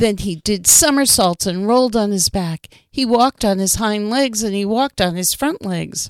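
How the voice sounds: What we hear is a natural reading voice.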